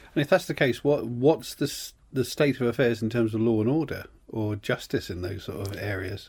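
Medium-pitched, somewhat breathy male voice at a fairly quick pace, ordinary pitch variation, hardly any pauses, and a very clean recording with a silent background. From Cornwall, England. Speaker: podcast co-host, writer. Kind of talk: casual chat. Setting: studio.

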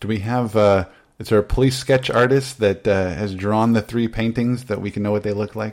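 A man with a plain, everyday voice talks at a fairly quick pace. His pitch is fairly low and his intonation fairly even. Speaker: podcast host. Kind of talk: casual chat. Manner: humorous, does impressions.

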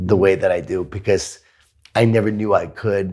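Speaking at a moderate pace with an American accent, a man uses a normal speaking voice at a fairly low pitch, captured in a very clean recording with a silent background. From New York (Queens). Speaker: author and keynote speaker. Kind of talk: interview conversation.

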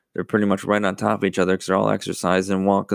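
A man with an American accent and a fairly low pitch, dry and close with no echo, on a very clean recording with a silent background. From US, Buffalo, New York. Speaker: podcast host. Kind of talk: casual solo talk. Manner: many fillers, halting.

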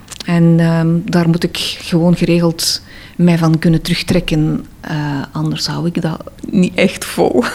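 Speaking in an Antwerp accent at a fairly slow pace, a woman has a fairly low pitch, with noticeable noise behind her. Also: fairly even intonation. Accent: Antwerp Flemish. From Antwerp, Belgium. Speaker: interviewee. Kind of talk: personal interview. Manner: hesitant.

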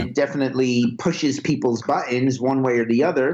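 The speaker is a man. He talks with a New York accent. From Brooklyn, New York. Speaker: music video director. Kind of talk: interview.

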